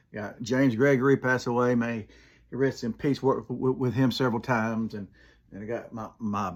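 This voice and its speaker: With an Alabama accent, a man rattles along at a very fast pace and fairly even intonation on a very clean recording with a silent background. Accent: US Southern (Alabama). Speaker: comedian and Army veteran. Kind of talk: casual monologue. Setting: home room, filmed in one take. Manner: halting, repeated words.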